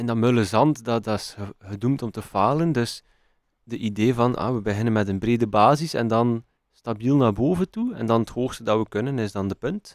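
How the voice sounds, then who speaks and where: The speech comes at a moderate pace with ordinary pitch variation and a Flemish accent. The recording is very clean, with a silent background. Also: man, medium pitch for a man. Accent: Flemish Dutch. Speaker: podcast co-host. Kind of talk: casual chat. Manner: halting.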